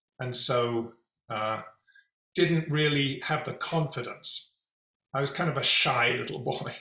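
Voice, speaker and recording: A man with a London accent speaks at a fairly high pitch with ordinary pitch variation. He leaves long, frequent pauses. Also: fairly slow pace. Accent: British (London). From England, London. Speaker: executive coach and company founder. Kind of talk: interview.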